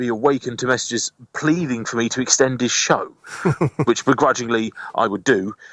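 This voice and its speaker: A man speaks with an English accent and ordinary pitch variation. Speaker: community radio presenter and station manager. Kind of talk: radio interview. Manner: fast talking with lots of intonation on his own shows.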